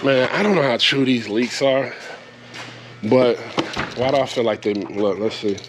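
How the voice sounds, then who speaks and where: Over noticeable background noise, a man speaks at medium pitch and a moderate pace, with ordinary pitch variation, very even loudness and long, frequent pauses. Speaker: vlogger, truck driver. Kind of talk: casual vlog talk. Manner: animated.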